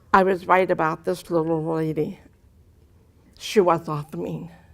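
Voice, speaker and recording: A woman's fairly low, monotone voice with vocal fry and flat intonation at a very slow pace, in a very clean recording against a silent background. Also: long, frequent pauses. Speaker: deaf motivational speaker. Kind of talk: testimony. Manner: carefully articulated, trained speech.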